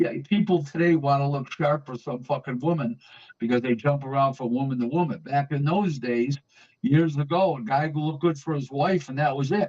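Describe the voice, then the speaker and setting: This man's voice is somewhat breathy. His pitch sits fairly high. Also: ordinary pitch variation, moderate pace. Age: 60s. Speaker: boxing talk show host. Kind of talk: casual chat. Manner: animated.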